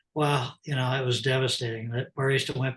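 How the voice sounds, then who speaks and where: A man speaks at a very fast pace, somewhat breathy, with monotone, flat intonation. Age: 70s. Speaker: retired company president and leadership coach. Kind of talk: interview storytelling. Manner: halting.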